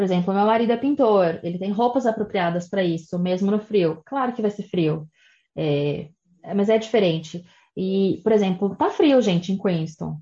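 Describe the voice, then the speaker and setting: Against a quiet background, a woman with a dark, mellow tone and medium pitch speaks at a moderate pace with lively intonation and long, frequent pauses. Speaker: immigration and study abroad advisor. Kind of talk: interview.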